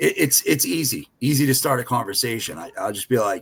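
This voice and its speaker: Speaking in a Boston accent, a man keeps to a moderate pace. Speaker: freight broker agent. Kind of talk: podcast panel chat.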